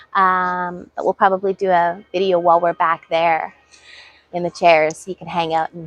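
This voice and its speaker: Music plays in the background as a woman speaks at a fairly low pitch. Her intonation is monotone and flat, with big swings in loudness. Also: dry, close sound with no echo. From British Columbia, Canada. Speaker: gardening vlogger. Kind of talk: casual chat. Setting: outdoors.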